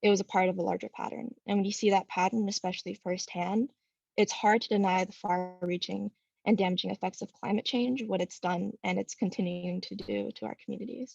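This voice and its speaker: In a dry, close sound with no echo, a woman's somewhat breathy, medium-pitched voice moves at a fairly quick pace with fairly even intonation. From Southern California. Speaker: student speaker at public comment. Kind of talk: public comment statement.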